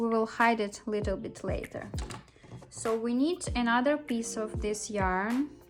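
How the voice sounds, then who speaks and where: Against music in the background, a woman with a non-native accent speaks at a fairly slow pace, her fairly high pitch showing ordinary pitch variation. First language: not English. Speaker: crochet toy maker. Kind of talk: tutorial.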